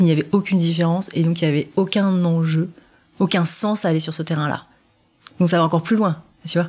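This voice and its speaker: The speaker goes at a fairly quick pace but leaves long, frequent pauses, sounding somewhat breathy with fairly even intonation. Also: woman. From France. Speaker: adoptee telling her story. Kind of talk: testimony. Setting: sitting on host's sofa.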